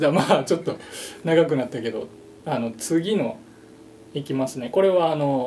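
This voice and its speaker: A man with a Kansai accent speaks at a moderate pace in a fairly high pitch, with ordinary pitch variation, long and frequent pauses, and noticeable background noise. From Japan, Shiga. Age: 30s. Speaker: musician. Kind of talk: casual chat.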